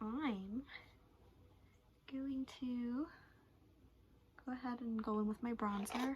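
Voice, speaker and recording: Soft-spoken and fairly high-pitched, a woman talks with fairly even intonation and long, frequent pauses. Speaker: beauty vlogger. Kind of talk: makeup tutorial chat. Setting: sitting on her floor at home.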